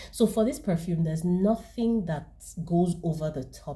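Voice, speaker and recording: At a fairly slow pace, the voice has vocal fry, a dark, mellow tone and ordinary pitch variation. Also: woman. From Nigeria. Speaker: fragrance reviewer. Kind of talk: product review.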